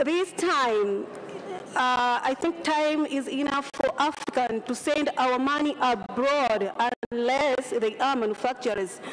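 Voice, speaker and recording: Against crowd noise in the background, a woman talks at a high pitch with very even loudness and ordinary pitch variation. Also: fairly slow pace. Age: 30s. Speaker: parliamentary candidate. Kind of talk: campaign speech. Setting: parliament chamber.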